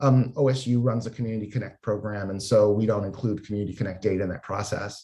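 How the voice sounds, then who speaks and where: A man is speaking. His voice is somewhat breathy. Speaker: health data researcher / panel moderator. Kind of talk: panel presentation.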